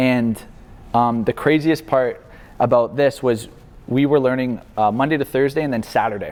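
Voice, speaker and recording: A man at medium pitch, moderate pace and fairly even intonation, a normal speaking voice. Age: 20s. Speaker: marketing agency founder. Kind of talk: guest talk to university class. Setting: university classroom. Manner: casual.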